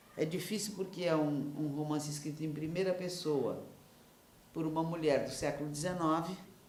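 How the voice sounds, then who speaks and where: A woman speaks at a very deep, low pitch and a moderate pace, her intonation fairly even. Noticeable background noise and audible room echo can be heard. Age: 70s. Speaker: novelist. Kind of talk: interview. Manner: halting.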